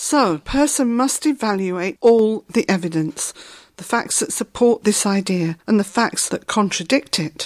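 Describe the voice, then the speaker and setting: A woman with a plain, everyday voice speaks at a fairly slow pace and a fairly high pitch, with lively intonation. The very clean recording has a silent background and a dry, close sound with no echo. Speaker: co-host asking questions. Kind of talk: explanatory dialogue about a book.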